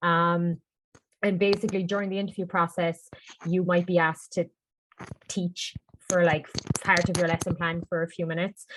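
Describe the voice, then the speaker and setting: A woman's fairly low, monotone voice with a Cork accent and long, frequent pauses. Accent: Cork Irish. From Ireland, Cork. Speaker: English teacher abroad. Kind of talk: panel Q&A webinar. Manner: fast.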